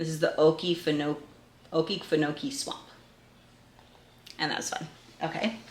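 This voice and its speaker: The speaker has a New England accent and a bright, sharp tone, moving at a moderate pace with ordinary pitch variation. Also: woman. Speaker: homeschooling parent and video creator. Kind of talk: resource review tutorial. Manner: casual, with frequent fillers.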